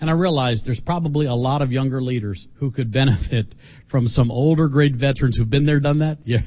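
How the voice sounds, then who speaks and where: A man's somewhat breathy, medium-pitched voice with an American accent, fairly quick, with ordinary pitch variation. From US North, Philadelphia. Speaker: mission organization leader. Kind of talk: sermon. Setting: church. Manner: animated.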